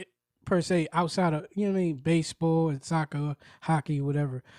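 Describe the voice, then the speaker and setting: In a New York accent, a man speaks with a dark, mellow tone at a fairly high pitch. His pace is fairly quick, on a very clean recording with a silent background. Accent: New York City. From Brooklyn, New York. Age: 40s. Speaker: podcaster. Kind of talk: casual monologue. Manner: animated.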